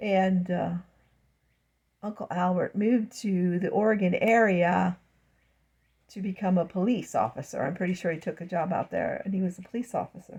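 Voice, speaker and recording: A woman with an American accent speaks at a moderate pace in a medium pitch, her dark, mellow tone somewhat breathy, with ordinary pitch variation, long, frequent pauses and a quiet background. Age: 60s. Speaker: vlogger. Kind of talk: casual monologue vlog. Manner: rambling, halting.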